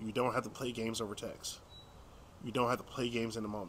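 Light background noise behind a man speaking. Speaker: dating coach. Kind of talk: casual vlog chat. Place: street. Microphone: phone near.

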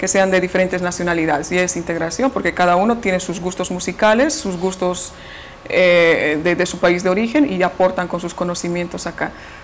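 Light background noise plays under the talking. A woman speaks at a moderate pace. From Bolivia. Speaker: radio station director. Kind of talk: interview answer. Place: office. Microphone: lapel.

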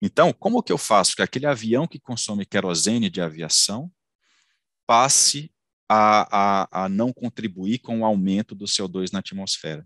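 Against a quiet background with a dry sound and no echo, a man with a fairly low pitch speaks at a fairly slow pace with lively intonation. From Ceará, Brazil. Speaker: engineer and company founder; engineer lecturer. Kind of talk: lecture. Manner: halting, many fillers and repetitions. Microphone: headset.

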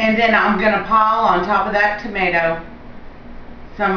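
A woman speaks with fairly even intonation. Light background noise and audible room echo surround her voice. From Louisiana. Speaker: home cooking show host. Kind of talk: cooking tutorial. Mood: cheerful and friendly. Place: kitchen. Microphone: camera far.

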